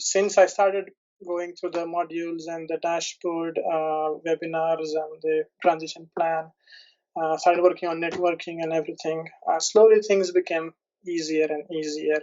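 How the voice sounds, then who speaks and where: A man with an Indian accent talks at a high pitch and moderate pace, his intonation monotone and flat. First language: Indian language, not English. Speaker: PhD, product development analyst. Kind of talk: interview testimonial. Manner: halting, many fillers and restarts.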